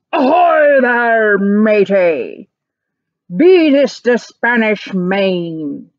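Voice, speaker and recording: Loud and bellowing, a woman puts on a character voice at a fairly high pitch and a very slow pace. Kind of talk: pirate speech. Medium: read story. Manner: loud, bellowing.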